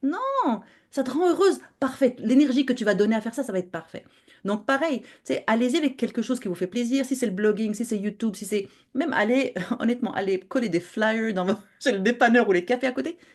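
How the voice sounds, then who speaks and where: The speaker is a woman with a fairly high pitch and ordinary pitch variation. She talks at a very fast pace. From Morocco. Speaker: podcaster and web entrepreneur. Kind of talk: interview. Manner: animated; halting.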